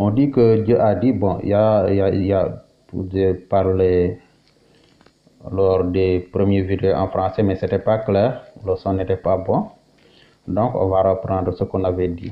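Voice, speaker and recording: In a Senegalese accent, a man speaks with a very deep, low pitch and monotone, flat intonation. His loudness stays very even, broken by long, frequent pauses. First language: Wolof (speaking French). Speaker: Islamic religious teacher. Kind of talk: religious teaching. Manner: halting, many hesitations.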